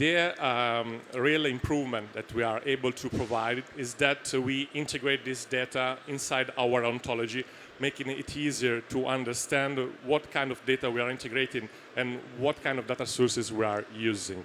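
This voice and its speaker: With an Italian accent, a man speaks at a moderate pace and medium pitch, keeping his intonation fairly even. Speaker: startup founder. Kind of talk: Q&A after a pitch. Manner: halting, many fillers.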